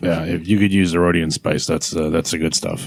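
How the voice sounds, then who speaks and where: A man puts on a character voice that is raspy and very deep. He speaks at a fairly quick pace in a monotone, flat intonation. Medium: actual play. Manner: loose, rambling, casual.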